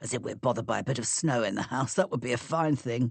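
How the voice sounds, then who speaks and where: A man puts on a raspy character voice at medium pitch, talking very fast with ordinary pitch variation. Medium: read story.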